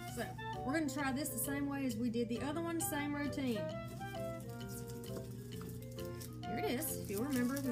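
A woman talks at a fairly quick pace. Loud music plays in the background. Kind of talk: tutorial. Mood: excited, cheerful. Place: kitchen. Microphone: phone near.

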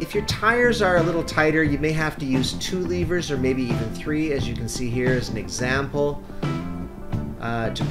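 Moderate pace over loud music in the background. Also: man. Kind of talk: tutorial. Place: garden. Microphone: camera far.

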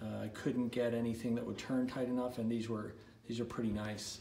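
A man talks in a room with audible echo, and light background noise is present. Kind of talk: casual build-log walkthrough. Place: workshop. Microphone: phone near.

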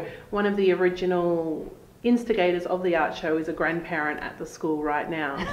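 A woman with a fairly low pitch speaks at a fairly quick pace with fairly even intonation, and room echo is audible. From Australia. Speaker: art show organiser and school parent. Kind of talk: interview answer. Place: office.

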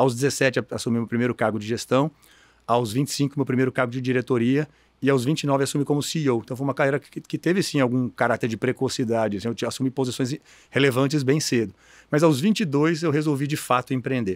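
Over a quiet background, a man speaks at a fairly quick pace. His pitch varies in an ordinary way, and the sound is dry with no echo. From Brazil, Mato Grosso (Cuiabá), raised partly in interior São Paulo; Mato Grosso, Brazil. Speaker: education business executive, board chairman; guest. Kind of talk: interview. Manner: halting, many repeated words. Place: studio. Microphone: studio mic.

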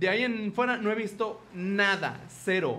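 High-pitched with a fairly bright tone, a man speaks with lively intonation.

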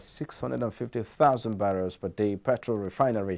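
In a Nigerian accent, a man speaks fairly slowly with a fairly low pitch and a dark, mellow tone. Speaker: business news presenter. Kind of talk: newsreading, scripted business bulletin. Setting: studio. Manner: formal, even, brisk newsreader delivery.

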